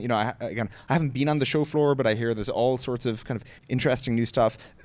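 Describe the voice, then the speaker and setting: The pace here is very fast. It comes in an Irish accent. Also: man. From Limerick, Ireland. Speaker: tech company co-founder and president. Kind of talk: onstage interview answer. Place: stage. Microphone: handheld.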